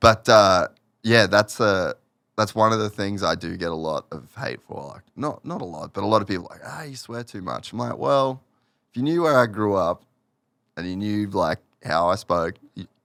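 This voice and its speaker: Speaking with an Australian accent, a man talks at a moderate pace with lively intonation and big swings in loudness. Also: fairly low pitch for a man. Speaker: motocross media personality. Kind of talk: casual podcast chat.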